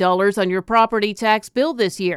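A moderate pace and an unremarkable speaking voice, dry and close with no echo, on a very clean recording with a silent background. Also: woman. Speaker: local news anchor. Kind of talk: newsreading, brisk scripted local news bulletin. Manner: brisk, even and businesslike.

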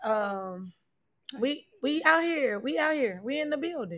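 A woman talks fairly slowly, captured in a very clean recording against a silent background. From Atlanta area, Georgia (Decatur). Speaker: podcast host. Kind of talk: casual chat. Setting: livestream. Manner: animated.

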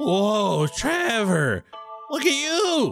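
Faint music plays in the background as the speaker uses a put-on character voice with very wide pitch swings. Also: man, extremely high pitch for a man. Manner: surprised, amused.

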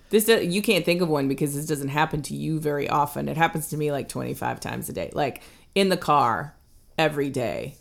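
With a relaxed tone and vocal fry, a woman with a very deep, low pitch and ordinary pitch variation speaks at a fairly quick pace in a very clean recording with a silent background. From US South. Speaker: podcast co-host. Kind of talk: casual chat. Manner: conversational, relaxed, laughs often.

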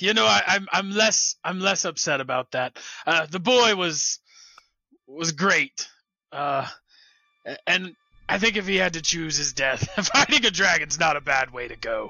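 A man puts on a raspy character voice pitched high. He speaks at a fairly slow pace with long, frequent pauses. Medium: actual play. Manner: hearty, blunt.

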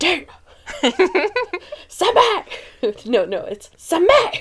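Shouting in a put-on character voice, a woman goes extremely high and raspy, her pitch swinging very widely.

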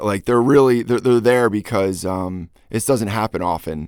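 A man with an unremarkable speaking voice talks at a moderate pace and medium pitch. The sound is dry and close with no echo, on a very clean recording with a silent background. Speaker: DJ and producer. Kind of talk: casual interview. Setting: home studio.

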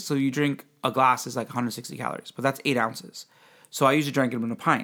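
A man with an ordinary speaking voice talks at a fairly quick pace on a very clean recording with a silent background. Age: 40s. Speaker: podcast host. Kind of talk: casual chat.

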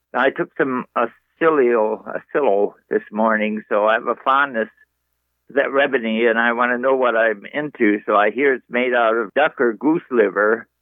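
A man with an unremarkable speaking voice, medium pitch, fairly even intonation, very even loudness and a moderate pace. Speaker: caller. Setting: phone call.

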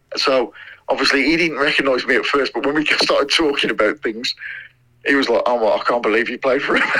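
With a Midlands accent, a man speaks at a very fast pace, in a fairly high pitch, with fairly even intonation. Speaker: former footballer. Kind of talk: interview. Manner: halting, many fillers.

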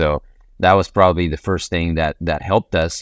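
A man speaks in a very deep, low voice with a Spanish accent and monotone, flat intonation. The sound is dry and close with no echo, over a quiet background. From Ecuador. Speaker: real estate investor and business owner.

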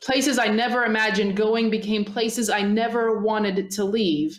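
An unremarkable speaking voice with ordinary pitch variation takes a fairly slow pace. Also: woman. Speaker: podcast host. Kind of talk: podcast conversation.

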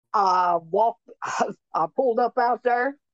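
This woman has a Tennessee accent and a fairly high pitch with ordinary variation. The sound is dry and close, with no echo. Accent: Southern US (Tennessee). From Tennessee, Clay County. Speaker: mother of a victim. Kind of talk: interview testimony.

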